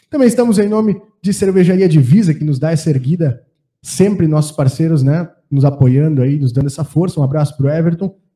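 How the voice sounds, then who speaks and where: This man has a fairly high pitch and a dark, mellow tone. He talks at a fairly quick pace with ordinary pitch variation. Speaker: podcast host. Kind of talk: sponsor reading; casual chat.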